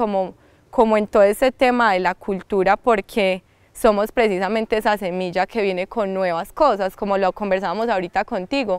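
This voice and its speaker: A woman with a slight paisa accent talks at a fairly quick pace. Her voice sits at medium pitch, with a dry sound and no echo. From Colombia, rural La Ceja, Antioquia; Antioquia, Colombia. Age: young. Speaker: artist and cultural promoter. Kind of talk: interview. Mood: warm, cheerful. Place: garden. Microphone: lapel.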